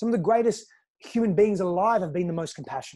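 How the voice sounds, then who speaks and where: Very fast speech in an Australian accent against a quiet background. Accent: Australian, noticeable. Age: 30s. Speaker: personal growth coach. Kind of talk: podcast interview.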